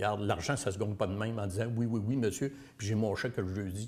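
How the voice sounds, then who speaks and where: A man speaks at a fairly quick pace in a somewhat breathy voice. His intonation stays fairly even. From Quebec, Bas-Saint-Laurent near Rimouski. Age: 60s. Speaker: political candidate. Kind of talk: interview. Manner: halting.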